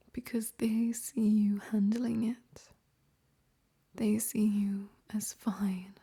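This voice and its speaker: The voice is soft-spoken. Its tone is gentle and calm. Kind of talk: ASMR comfort monologue to the listener. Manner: soft-spoken, gentle, calm.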